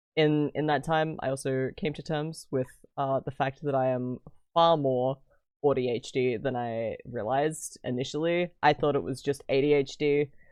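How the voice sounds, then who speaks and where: A man with an Australian accent, fairly high-pitched, at a moderate pace with fairly even intonation. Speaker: streamer. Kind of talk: casual chat.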